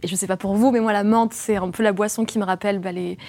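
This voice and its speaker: A woman talks at a very fast pace with a medium pitch. Her intonation stays fairly even. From France. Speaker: podcaster. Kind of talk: panel discussion.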